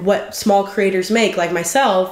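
A woman speaks in an animated tone at a moderate pace. Noticeable background noise runs under her voice. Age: 20s. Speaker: YouTuber and video editor. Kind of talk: casual vlog Q&A.

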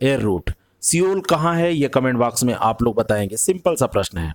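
This man has a normal speaking voice, fairly high in pitch. His intonation is lively. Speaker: exam prep teacher. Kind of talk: lecture.

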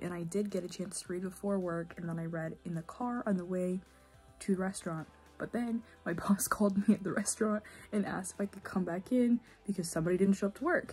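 Music plays behind a woman with a medium pitch. She speaks at a fairly quick pace with fairly even intonation. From Indiana, USA. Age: 20s. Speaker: book vlogger. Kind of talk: casual talk to camera.

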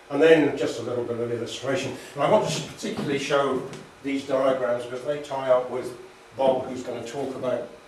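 Over light background noise and audible room echo, a man speaks at a fairly quick pace. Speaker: lecturer. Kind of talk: lecture. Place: meeting room. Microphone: camera far.

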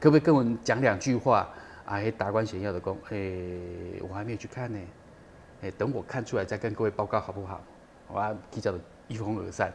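A man's fairly low voice at a very fast pace, with ordinary pitch variation, big swings in loudness and light background noise. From Taiwan. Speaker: documentary director, former TV cameraman; guest. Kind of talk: interview. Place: studio.

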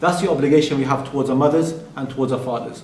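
Room echo can be heard around the man's voice. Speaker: religious teacher. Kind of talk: lecture. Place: hall.

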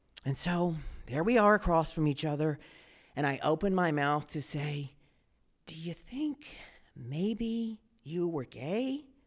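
A man with an American accent speaks at a fairly high pitch and a fairly slow pace. He leaves long, frequent pauses against a quiet background. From Texas. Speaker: storyteller. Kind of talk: live storytelling performance. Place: stage. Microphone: handheld.

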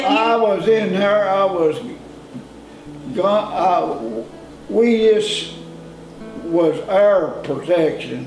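A man speaks at a very slow pace in a high voice, with long, frequent pauses. Audible room echo and clear music sit in the background. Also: ordinary pitch variation. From Kentucky. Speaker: farmer; war veteran. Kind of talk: interview answer. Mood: calm reminiscing. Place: home room.

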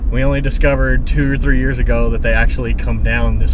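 A man talks at a fairly quick pace over noticeable background noise, his voice dry with no echo. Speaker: vlogger driving. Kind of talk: casual vlog chat. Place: car. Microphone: phone near.

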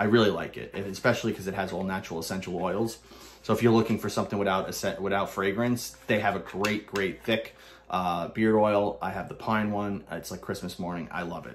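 Against light background noise, a man with an American accent speaks fairly quickly at a fairly low pitch with fairly even intonation. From Brooklyn, New York. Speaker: soap reviewer / YouTuber. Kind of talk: casual product review monologue. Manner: casual, rambling, halting with filler words. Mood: relaxed, enthusiastic. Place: home room. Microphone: phone near.

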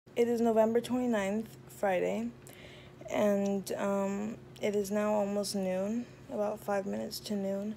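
Amid light background noise, a woman talks at a fairly slow pace with long, frequent pauses and ordinary pitch variation. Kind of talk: casual vlog chat. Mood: relieved but stressed. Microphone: phone near.

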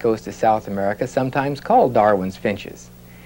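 Moderate pace and ordinary pitch variation from a man. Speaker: biologist guest; guest. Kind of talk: interview explanation; interview answer. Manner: conversational, informal.

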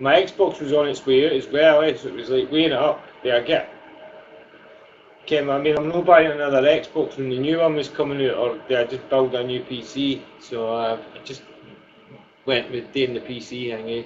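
With a strong Scottish accent and a fairly high pitch, a man speaks at a moderate pace with fairly even intonation over noticeable background noise. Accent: thick Scottish. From Scotland, Fife (Glenrothes). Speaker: gaming streamer. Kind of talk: casual chat.

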